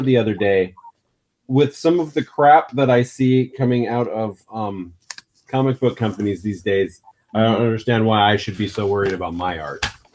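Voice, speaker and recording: Lively intonation marks a man's normal speaking voice as he talks at a moderate speed. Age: 40s. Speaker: podcast host. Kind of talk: casual chat.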